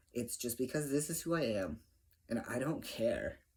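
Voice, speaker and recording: Vocal fry runs through a man's speech, delivered at a moderate pace with lively intonation. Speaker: vlogger. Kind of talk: casual video update. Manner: pitch rises at times.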